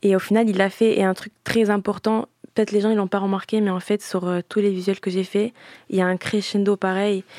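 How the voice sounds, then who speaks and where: In a very clean recording with a silent background, a woman talks at a fairly quick pace in a monotone, flat intonation, the sound dry and close with no echo. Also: medium pitch for a woman. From grew up between Italy and France, multilingual surroundings. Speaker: singer. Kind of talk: interview. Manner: halting, many fillers.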